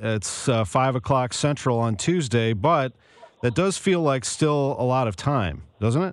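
An ordinary speaking voice from a man, medium in pitch, at a fairly slow pace. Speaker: radio sports host. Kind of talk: radio interview. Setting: studio.

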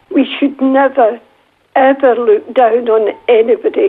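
A woman's high-pitched, fairly slow voice with very wide pitch swings. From Scotland, Glasgow. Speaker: retired nurse and missionary, author. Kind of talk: interview, personal testimony. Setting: recorded at her home.

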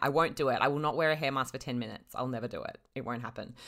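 A woman's very deep, low voice with a bright, sharp tone and an Australian accent. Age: 30s. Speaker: freelance writer and podcaster. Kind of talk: casual chat.

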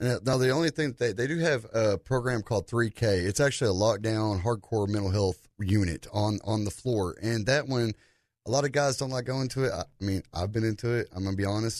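A normal speaking voice at a fairly quick pace, with hardly any pauses, ordinary pitch variation and a quiet background. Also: man. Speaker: veterans suicide prevention advocate. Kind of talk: radio interview.

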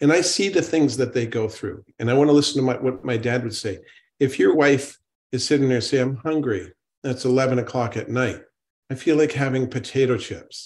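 A man talks at a medium pitch and a fairly quick pace, using a normal speaking voice with ordinary pitch variation. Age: 60s. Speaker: natural medicine doctor. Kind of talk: panel discussion.

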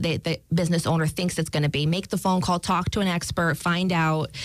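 Her pitch fairly low, a woman with a slight New York accent talks in a monotone, flat intonation. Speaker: banking specialist. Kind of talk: casual interview.

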